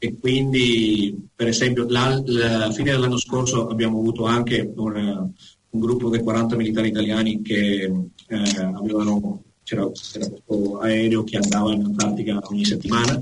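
Offering an ordinary speaking voice, a man talks at a moderate pace and medium pitch with fairly even intonation, very even loudness and hardly any pauses. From Venezuela, Caracas. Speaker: honorary consular agent and educator. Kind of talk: casual interview. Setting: Skype call.

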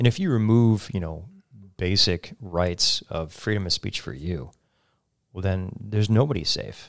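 A man with an American accent and a plain, everyday voice, fairly low in pitch, at a fairly slow pace with ordinary pitch variation, on a very clean recording with a silent background. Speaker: radio talk show host. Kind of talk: interview conversation. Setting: studio.

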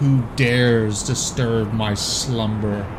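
Loud background noise surrounds a man doing a put-on character voice. He speaks at a very slow pace with medium pitch. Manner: roaring.

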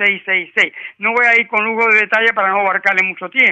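The speaker is a man with a high-pitched voice. His intonation stays fairly even. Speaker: retired worker calling a health radio show. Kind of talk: call-in question to radio doctor. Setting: phone call. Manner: halting, many hesitations.

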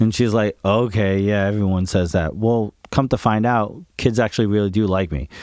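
A man with an American accent talks in an ordinary speaking voice at a fairly low pitch with ordinary pitch variation. He keeps a moderate pace with hardly any pauses on a very clean recording with a silent background. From Woodstock, New York, US. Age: 40s. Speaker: drummer. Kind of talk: casual chat.

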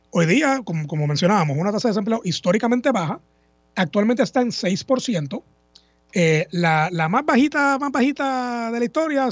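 This man's voice sits high and moves with lively intonation. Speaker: lawyer, government agency head. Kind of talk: radio interview. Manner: halting.

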